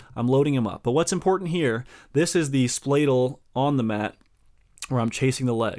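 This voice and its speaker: In a very clean recording with a silent background, a man speaks in a plain, everyday voice at medium pitch and a moderate pace, with ordinary pitch variation. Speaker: wrestling coach. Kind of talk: tutorial.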